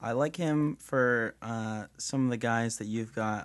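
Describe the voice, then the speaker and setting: In a normal speaking voice, a man with an American accent talks at medium pitch with ordinary pitch variation against a quiet background. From New York. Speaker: sports writer. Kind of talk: casual sports chat.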